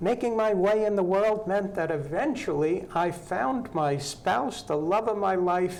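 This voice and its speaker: A man's high-pitched, fairly slow speech with very even loudness, ordinary pitch variation and hardly any pauses, plus audible room echo and noticeable background noise. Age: 60s. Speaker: local housing advocate, volunteer on county advisory bodies. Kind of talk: interview on local TV talk show.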